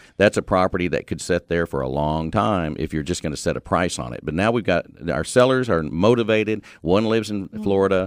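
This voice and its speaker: A man speaks with a very deep, low pitch and lively intonation, moving at a fairly quick pace with hardly any pauses. The recording is very clean and dry, close-sounding with no echo and a silent background. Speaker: auctioneer. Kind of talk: conversational interview answer.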